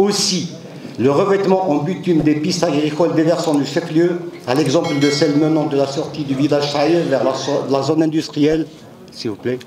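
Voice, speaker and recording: There's audible room echo and noticeable background noise. A man speaks at a fairly high pitch and moderate pace, with fairly even intonation. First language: Kabyle (speaking French). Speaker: local elected official. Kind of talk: formal speech at assembly session. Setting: assembly session hall. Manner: formal.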